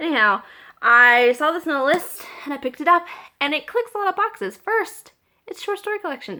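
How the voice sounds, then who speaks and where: A woman's raised, projected voice with very wide pitch swings. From US South, small-town Georgia. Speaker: book vlogger. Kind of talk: casual chat. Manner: casual, with filler words.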